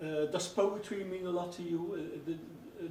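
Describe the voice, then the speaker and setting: A man with a Dutch accent and a high pitch speaks at a fairly slow pace with fairly even intonation, amid noticeable background noise and audible room echo. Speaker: radio host. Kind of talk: radio interview. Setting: radio studio. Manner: halting, many fillers.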